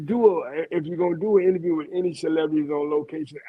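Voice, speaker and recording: A man with a fairly high pitch speaks very fast. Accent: Louisiana. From Louisiana, US South. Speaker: radio host. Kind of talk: interview.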